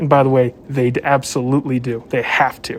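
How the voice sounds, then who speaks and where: This man has a fairly high voice and an American accent. He talks at a moderate pace. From southwest Virginia, US. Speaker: police officer. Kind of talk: casual discussion.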